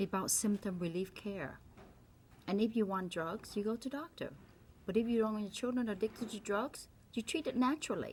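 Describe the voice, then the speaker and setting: A woman talks at a fairly quick pace in a Vietnamese accent, her fairly high voice somewhat breathy. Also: ordinary pitch variation. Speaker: doctor. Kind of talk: opinion monologue. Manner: animated.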